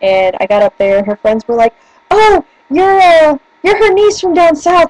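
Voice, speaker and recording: The sound is dry and close, with no echo. A woman speaks in an animated tone with a slight northern US accent. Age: 20s. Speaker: vlogger. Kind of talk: casual chat. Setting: webcam video at home.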